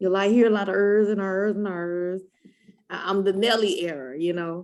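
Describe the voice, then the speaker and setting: A woman of medium pitch talks at a moderate pace with fairly even intonation. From US Midwest, East St. Louis, Illinois. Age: 30s. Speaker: breast cancer survivor. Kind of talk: interview testimony.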